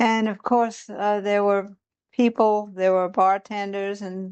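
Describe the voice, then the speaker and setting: Very slowly and in a flat monotone, a woman with a Charleston accent speaks at medium pitch. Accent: Southern US (Charleston). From US South, Charleston, South Carolina. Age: 70s. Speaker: interviewee, local civil rights group member. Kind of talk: oral history interview. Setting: at her home.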